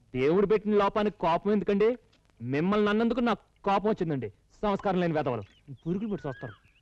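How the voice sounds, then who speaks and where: A high-pitched man with ordinary pitch variation in a dry, close sound with no echo. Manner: earnest, sincere.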